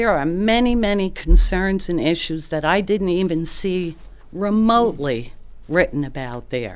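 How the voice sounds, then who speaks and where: A woman with an American accent speaks fairly slowly with lively intonation in a space with audible room echo. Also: medium pitch for a woman. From New York area. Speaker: retired nurse, resident giving public comment. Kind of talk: public comment at hearing. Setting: city planning commission meeting.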